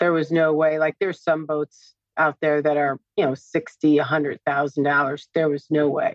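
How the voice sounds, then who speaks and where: Her pitch is very deep and low, and this woman's intonation stays monotone and flat. She keeps a moderate pace with hardly any pauses. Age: 50s. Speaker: office worker about to retire. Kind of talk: couples money coaching conversation.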